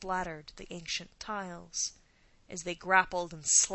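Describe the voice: Reading aloud, plainly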